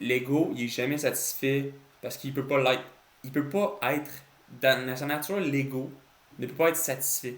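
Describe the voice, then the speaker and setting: A man speaks at a moderate pace in a medium pitch. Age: 20s. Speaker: entrepreneur. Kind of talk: casual talk to camera.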